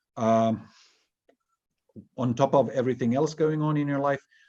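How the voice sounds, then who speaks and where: A man with a Swedish accent at a moderate pace. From Finland. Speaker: interviewer. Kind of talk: interview. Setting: online video event. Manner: halting, repetitive.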